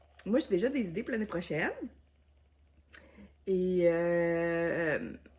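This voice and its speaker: A woman speaks with a Quebec accent. Her tone is dark and mellow. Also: long, frequent pauses. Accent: Québécois French. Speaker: YouTuber, diamond painting crafter. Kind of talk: casual vlog chat. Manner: hesitant, many fillers.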